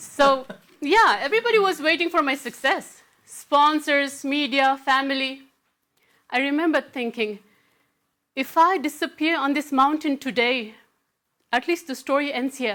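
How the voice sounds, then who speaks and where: Raised and projected, a woman's high-pitched voice has a bright, sharp tone, moving at a moderate pace with long, frequent pauses. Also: ordinary pitch variation. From Nepal. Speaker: mountaineer and keynote speaker. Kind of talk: motivational keynote speech.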